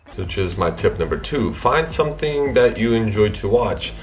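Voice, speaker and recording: An American man speaks at a moderate pace. There is audible room echo and music in the background. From Russia, raised in US from childhood. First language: Russian. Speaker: YouTuber. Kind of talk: casual vlog talk.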